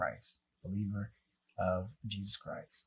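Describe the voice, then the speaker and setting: Somewhat breathy and with a dark, mellow tone, a man speaks with an American accent. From US South, North Carolina. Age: 20s. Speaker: singer and entertainer. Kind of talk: casual interview.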